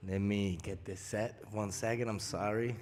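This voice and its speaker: A man's intonation stays fairly even. Room echo is audible around his voice. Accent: Spanish. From Puerto Rico. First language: Spanish. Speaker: rapper. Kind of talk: stage chat.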